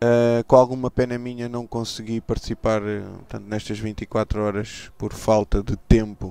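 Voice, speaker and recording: This man talks at a fairly quick pace in a fairly low pitch, his dark, mellow tone delivered with monotone, flat intonation. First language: Portuguese. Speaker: sim racing team owner. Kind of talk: live interview. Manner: halting, repeats words.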